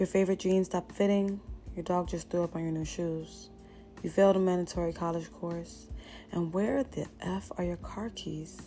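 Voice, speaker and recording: Music plays behind the speech. A woman talks at a moderate pace. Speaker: motivational speaker. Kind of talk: motivational pep talk. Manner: frank, casual.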